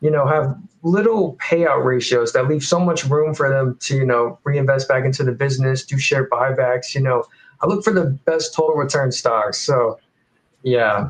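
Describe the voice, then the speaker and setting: A man with a fairly high pitch talks at a moderate pace, somewhat breathy, with very even loudness and ordinary pitch variation. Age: 20s. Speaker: college student and dividend investor. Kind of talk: casual chat.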